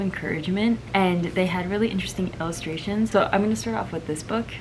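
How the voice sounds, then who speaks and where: Music plays in the background. Over it, a woman speaks with a fairly low pitch. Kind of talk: casual talk to camera. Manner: soft-spoken.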